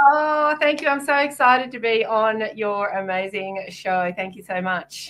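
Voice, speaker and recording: With an Australian accent, a woman with a fairly high pitch and lively intonation talks at a fairly slow pace with hardly any pauses. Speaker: psychic and author. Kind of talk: casual podcast interview.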